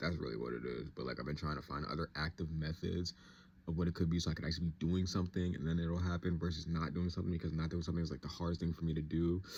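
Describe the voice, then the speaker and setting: Very fast and fairly even in intonation, a man talks in a very deep, low pitch. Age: 20s. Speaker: vlogger. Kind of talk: casual monologue vlog. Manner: rambling, stream of thought.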